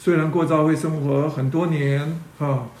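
Audible room echo surrounds a man talking at a moderate pace in a fairly high pitch. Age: 60s. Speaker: church teacher. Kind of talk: sermon. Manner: halting, many fillers.

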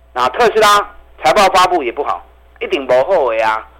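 A man with a high pitch talks at a moderate pace, his pitch swinging very widely, with noticeable background noise. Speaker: stock market analyst. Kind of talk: radio investment commentary. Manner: animated.

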